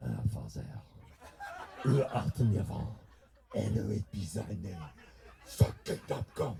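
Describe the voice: A man puts on a raspy character voice in a French accent, speaking fairly slowly in a fairly low pitch with very wide pitch swings and long, frequent pauses.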